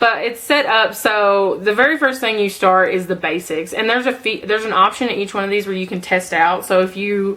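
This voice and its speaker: Fairly quick delivery in a bright, sharp tone, its pitch varying in an ordinary way. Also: woman. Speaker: beauty vlogger. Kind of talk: casual product review vlog. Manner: chatty, many fillers.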